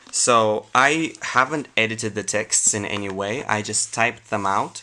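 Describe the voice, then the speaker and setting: His voice is fairly low in pitch. The man talks with a non-native accent. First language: not English. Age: 20s. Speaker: YouTuber. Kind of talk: reading aloud with commentary. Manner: casual, hesitant.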